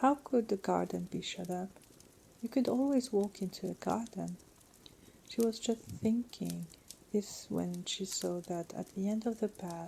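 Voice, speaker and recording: Soft-spoken and somewhat breathy, a woman with a dark, mellow tone talks at a fairly slow pace with ordinary pitch variation. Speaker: audiobook reader.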